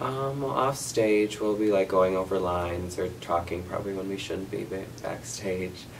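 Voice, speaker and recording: There is audible room echo and noticeable background noise. A man with an American accent speaks at a very deep, low pitch. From US Midwest. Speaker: student actor. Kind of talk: interview.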